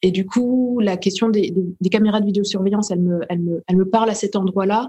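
Her voice has a dark, mellow tone, somewhat breathy, at medium pitch, as this woman speaks at a fairly quick pace with fairly even intonation. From France, Burgundy (Dijon). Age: 30s. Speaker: playwright and actress. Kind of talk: interview. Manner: hesitant, with frequent repetitions.

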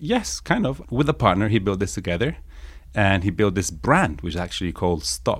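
Over a silent background in a very clean recording, a man speaks at a moderate pace with fairly low pitch, very wide pitch swings and vocal fry. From northern Italy, raised there from age six; born in England. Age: 30s. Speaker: startup founder. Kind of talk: interview conversation.

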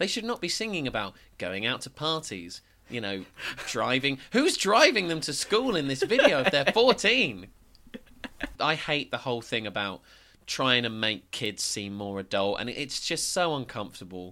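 With an English accent, a man speaks at a medium pitch and moderate pace, his bright, sharp tone making very wide pitch swings. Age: 20s. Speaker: podcast co-host and local radio worker. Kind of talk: casual chat.

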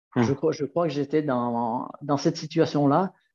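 With a quiet background, a man talks at a moderate pace in a fairly high pitch with a dark, mellow tone. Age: 60s. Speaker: nordic walking guide. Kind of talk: casual interview.

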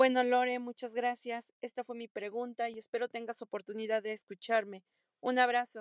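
A woman speaks at a moderate pace in a fairly high pitch, her intonation flat and monotone. Her loudness swings widely, and the sound is dry and close with no echo. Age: 30s. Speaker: listener sending a voice question. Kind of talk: recorded voice message.

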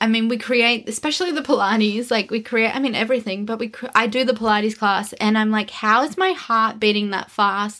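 Fairly quick speech with hardly any pauses and ordinary pitch variation. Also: woman, fairly high pitch for a woman. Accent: Australian. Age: 30s. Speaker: podcast co-host, wellness business owner. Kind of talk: casual chat.

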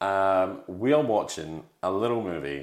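A man with a British accent speaks at a very slow pace. His very deep, low voice has lively intonation. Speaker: podcast host. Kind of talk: casual chat, movie review podcast.

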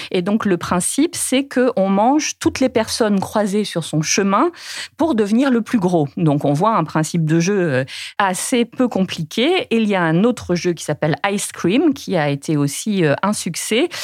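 A woman's voice at medium pitch, fairly slow, with very wide pitch swings. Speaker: journalist. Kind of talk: interview.

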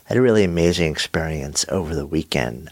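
The man speaks at a low pitch with vocal fry.

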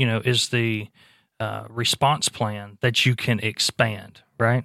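With an American accent and a plain, everyday voice, a man of medium pitch speaks at a fairly slow pace with fairly even intonation, in a very clean recording with a silent background and a dry, close sound with no echo. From US Gulf Coast, New Orleans area. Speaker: emergency agency spokesperson. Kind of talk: casual interview. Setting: studio.

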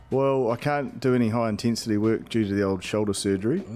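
A man's fairly low voice, fairly quick, with fairly even intonation. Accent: New Zealand. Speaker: professional rugby player. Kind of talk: casual chat.

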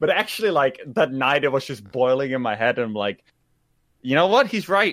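A man's medium-pitched voice with very wide pitch swings, a slight Dutch accent and a moderate pace. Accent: light Dutch accent in English. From Netherlands. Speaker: gaming streamer. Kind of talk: casual chat. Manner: halting.

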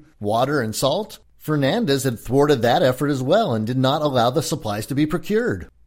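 With a Californian accent, a man speaks at a moderate pace in a fairly high pitch, his intonation lively, on a very clean recording with a silent background. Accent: Californian American. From California, US. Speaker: historian and actor. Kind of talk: scripted narration of a history lecture.

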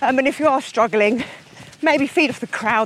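Noticeable background noise sits behind a woman speaking at a fairly quick pace. Her intonation is lively. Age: 40s. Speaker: endurance runner. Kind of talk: casual interview. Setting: outdoors.

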